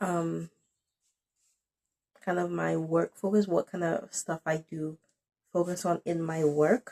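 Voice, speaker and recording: Very slow, monotone speech with flat intonation and long, frequent pauses, in a dry, close sound with no echo. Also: woman, fairly low pitch for a woman. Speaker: poet, writer, theatre director. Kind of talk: casual talk to camera. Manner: hesitant, rambling.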